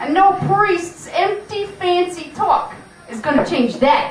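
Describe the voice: A woman's cartoonish character voice, extremely high in pitch, slow-paced and lively in intonation, with strong room echo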